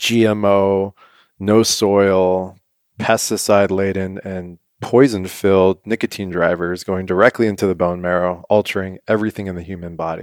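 A man speaks in a very deep, low pitch with a monotone, flat intonation at a moderate pace. The sound is dry and close with no echo, on a very clean recording with a silent background. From US West Coast, San Diego. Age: 30s. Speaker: health product founder. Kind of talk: casual chat.

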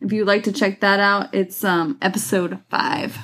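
At a fairly slow pace, a woman with medium pitch talks in an unremarkable speaking voice on a very clean recording with a silent background. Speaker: co-host. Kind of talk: casual chat.

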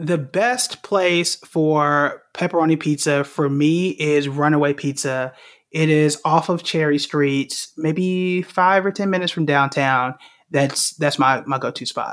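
In a very clean recording with a silent background, a man with a plain, everyday voice and an American accent speaks at a fairly slow pace, his fairly high pitch showing ordinary variation. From Oklahoma, Tulsa. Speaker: investing educator. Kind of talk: casual chat.

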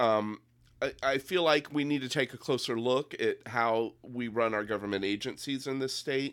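A man's plain, everyday voice at a fairly slow pace with ordinary pitch variation, on a very clean recording with a silent background. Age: 50s. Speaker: political candidate. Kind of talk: casual chat.

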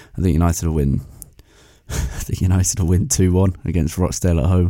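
A man puts on a character voice that is very deep and low in pitch. It sounds raspy and moves at a fairly slow pace. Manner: unsure, hesitant.

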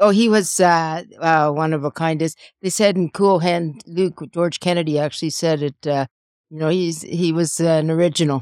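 A woman's fairly low voice with fairly even intonation moves at a moderate pace, recorded dry and close with no echo on a very clean recording with a silent background. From Canada, Calgary. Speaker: widow of a pro wrestler. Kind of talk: casual chat. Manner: halting.

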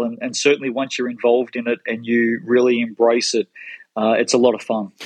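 A man talks at a medium pitch with an Australian accent. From Melbourne, Australia. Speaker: sports marketing executive. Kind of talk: interview.

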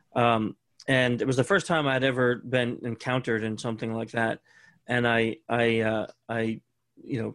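The sound is dry and close, with no echo, as a man talks in a normal speaking voice. He uses medium pitch, fairly even intonation, and a fairly quick pace. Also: very clean recording, silent background. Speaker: security expert and author. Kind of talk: casual interview chat.

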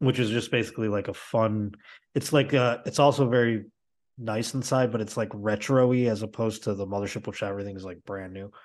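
Against a quiet background, a man with an unremarkable speaking voice and fairly low pitch talks at a fairly quick pace, with big swings in loudness. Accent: American. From Buffalo, New York. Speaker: comedian. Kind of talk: casual chat.

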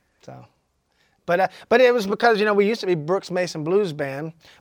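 A man with a Southern US accent talks very fast, using ordinary pitch variation. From Georgia, US South. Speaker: blues musician. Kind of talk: casual interview. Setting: studio.

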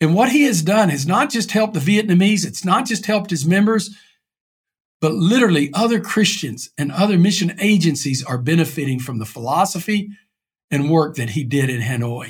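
A high-pitched man with an East Texas accent and very wide pitch swings. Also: fairly quick pace. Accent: East Texas Southern US. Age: 60s. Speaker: pastor. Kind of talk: interview.

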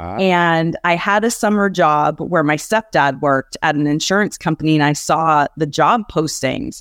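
With a plain, everyday voice, a woman talks at a fairly low pitch and a moderate pace, with ordinary pitch variation and a dry, close sound with no echo. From Canada (Ontario). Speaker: business coach. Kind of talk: interview. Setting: live online event.

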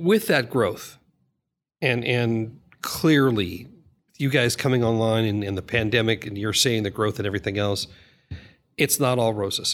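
On a very clean recording with a silent background, a man talks with ordinary pitch variation and long, frequent pauses. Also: medium pitch for a man, moderate pace. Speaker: podcast co-host. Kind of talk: interview.

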